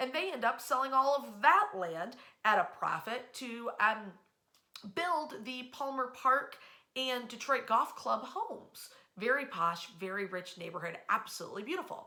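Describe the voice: A woman's fairly high, bright, sharp voice with lively intonation. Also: fairly slow pace.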